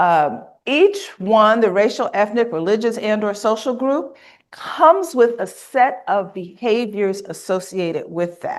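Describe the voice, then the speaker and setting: With an American accent, a woman speaks fairly slowly in an unremarkable speaking voice, fairly high in pitch, with lively intonation. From US South, Mississippi. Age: 60s. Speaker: workshop trainer. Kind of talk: conference workshop presentation. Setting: conference room with live and online audience.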